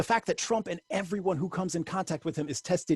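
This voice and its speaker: Speaking at a fairly quick pace with an American accent, a man uses ordinary pitch variation in a dry, close sound with no echo. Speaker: poet, teacher and activist giving a church sermon. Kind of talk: sermon delivered to a congregation.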